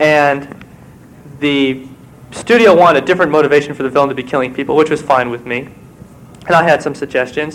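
A man's fairly high voice moves at a fairly quick pace while noticeable background noise is heard. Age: 20s. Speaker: novelist and screenwriter. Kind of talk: conference talk.

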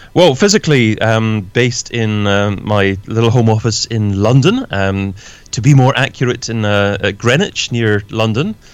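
On a very clean recording with a silent background, a man with a Scottish accent speaks at a fairly slow pace and medium pitch, with ordinary pitch variation. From Scotland. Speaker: podcaster and online entrepreneur. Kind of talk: interview. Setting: home office.

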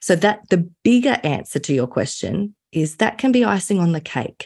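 With an Australian accent, a woman speaks in a dark, mellow, somewhat breathy tone with very wide pitch swings. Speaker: business coach and consultant. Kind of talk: interview.

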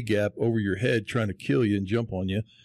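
A man at a very fast pace. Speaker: podcast co-host, former pro football lineman, realtor. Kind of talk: casual chat interview. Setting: real estate office.

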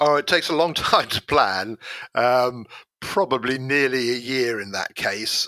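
A man speaks with a British accent at a moderate pace. His medium pitch has ordinary variation and a bright, sharp tone. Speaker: explosives expert. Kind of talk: interview.

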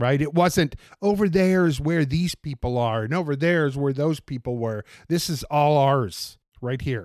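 In a plain, everyday voice, a man with an American accent speaks at a moderate pace, his pitch fairly high with ordinary variation, on a very clean recording with a silent background. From US Pacific Northwest, Portland, Oregon. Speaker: city bus driver. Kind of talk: interview, casual conversation.

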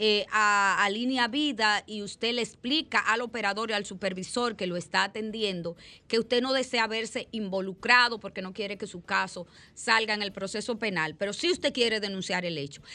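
A woman talks at a moderate pace in a fairly high, bright, sharp voice with ordinary pitch variation. The recording is very clean, with a silent background. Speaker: radio host and judge. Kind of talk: radio talk show.

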